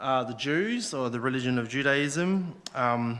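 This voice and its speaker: In an Australian accent, a man speaks at a fairly slow pace with a bright, sharp tone and medium pitch. His pitch variation is ordinary, and the room echo is audible. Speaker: lay preacher. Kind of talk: sermon. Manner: halting.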